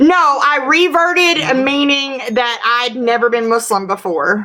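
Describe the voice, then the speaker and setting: Over noticeable background noise, a woman with a Southern US accent speaks in a high pitch with lively intonation and very even loudness. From US South, Tennessee. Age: 40s. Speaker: livestreamer. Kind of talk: live stream Q&A. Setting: livestream.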